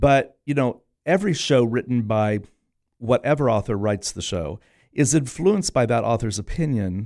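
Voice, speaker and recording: A man speaks in a normal speaking voice at a medium pitch and a moderate pace, with lively intonation. The recording is very clean, with a silent background. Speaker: theater director. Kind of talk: radio interview, casual chat. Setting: studio.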